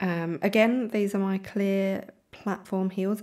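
A woman with a British accent, medium in pitch. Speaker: fashion content creator. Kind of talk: casual voiceover commentary. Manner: hesitant, with many ums.

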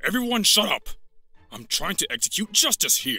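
In a put-on character voice, a man speaks at an extremely high pitch and a moderate pace. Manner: bossy, angry.

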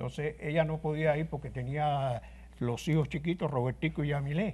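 This man's voice is fairly high-pitched and somewhat breathy, with a dark, mellow tone. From Cuba (Guanabacoa, Havana); Cuba. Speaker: trumpet player. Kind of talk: interview. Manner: halting. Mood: somber storytelling. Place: studio.

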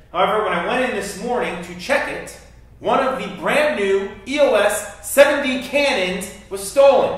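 Amid strong room echo, a man with a high pitch speaks with big swings in loudness. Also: ordinary pitch variation, moderate pace. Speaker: teacher. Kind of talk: scripted drama scene, teacher addressing class. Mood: upset, serious. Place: classroom.

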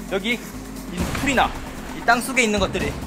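Clear music plays in the background while a man talks with ordinary pitch variation. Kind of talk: mock documentary commentary.

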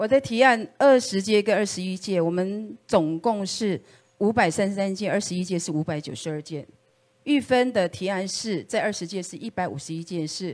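Speaking at a moderate pace, a woman uses a medium-pitched voice with ordinary pitch variation, an unremarkable speaking voice. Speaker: political candidate; candidate. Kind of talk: campaign speech. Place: meeting room.

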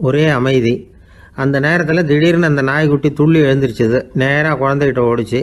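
A man with an ordinary speaking voice, fairly high pitch and fairly even intonation. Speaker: storyteller and orator. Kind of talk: humorous moral storytelling. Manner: casual, conversational.

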